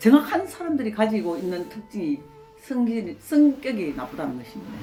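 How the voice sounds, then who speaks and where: Music plays in the background as a woman speaks at a moderate pace, her fairly high pitch making very wide swings. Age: 70s. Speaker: pastor's wife and nurse. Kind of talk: interview answer.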